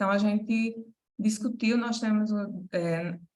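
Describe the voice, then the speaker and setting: A woman's somewhat breathy, fairly high-pitched voice at a fairly slow pace, with fairly even intonation and audible room echo. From Paraíba, Brazil. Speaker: medical school academic manager. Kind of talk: conference presentation. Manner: hesitant, many fillers.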